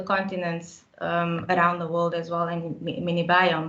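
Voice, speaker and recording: This woman speaks at a fairly low pitch. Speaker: park scientist. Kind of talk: webinar talk. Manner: fast when excited.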